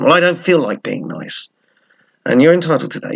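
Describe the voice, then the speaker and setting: A man is speaking. He has an English accent. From England. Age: old. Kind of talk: casual talk to camera.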